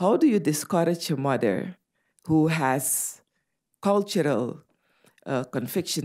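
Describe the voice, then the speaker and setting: A woman with a Dutch Caribbean accent speaks at a fairly slow pace with a very deep, low pitch, a dark, mellow tone and lively intonation, on a very clean recording with a silent background. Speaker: medical doctor and public health official. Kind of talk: conference talk.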